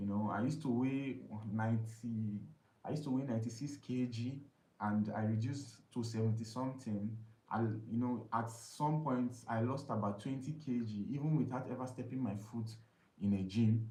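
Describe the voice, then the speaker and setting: In a room with audible echo, a man with a medium-pitched, dark, mellow, somewhat breathy voice speaks at a moderate pace with fairly even intonation. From Nigeria, Imo State. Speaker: live streamer, weight loss vlogger. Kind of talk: casual live stream talk. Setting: live stream. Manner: halting, many fillers.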